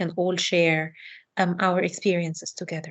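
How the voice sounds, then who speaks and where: A woman with a non-native accent talks at a moderate pace in a flat, monotone intonation. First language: not English. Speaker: educational researcher. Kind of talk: online talk.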